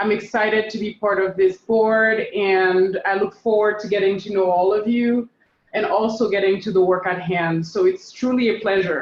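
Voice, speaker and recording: At a moderate pace, a woman talks in a normal speaking voice of medium pitch with fairly even intonation. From United States. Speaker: city council member. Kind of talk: meeting introduction.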